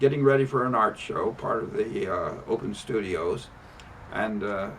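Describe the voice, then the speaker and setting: Through noticeable background noise, a man at a medium pitch speaks at a fairly slow pace with lively intonation. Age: 80s+. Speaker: rug maker. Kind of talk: casual demonstration talk to camera. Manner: halting, hesitant.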